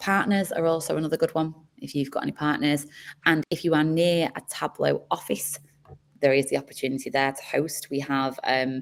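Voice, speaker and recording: Fairly even intonation marks this fairly quick delivery with a Manchester accent. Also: woman, very deep, low pitch for a woman. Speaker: community program manager. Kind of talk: onboarding call presentation.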